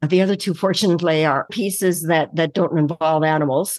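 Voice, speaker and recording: Against a quiet background, a woman with a Canadian accent uses a normal speaking voice, fairly low in pitch with fairly even intonation, in a dry, close sound with no echo. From Winnipeg, Manitoba, Canada. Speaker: actor, costume designer and theatre director. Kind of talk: interview.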